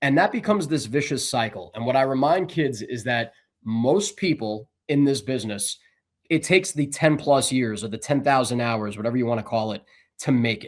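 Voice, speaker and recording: In an unremarkable speaking voice with an American accent, the speaker moves at a fairly quick pace with lively intonation on a very clean recording with a silent background. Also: man, medium pitch for a man. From New Jersey, Bergen County. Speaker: sports broadcaster. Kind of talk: interview.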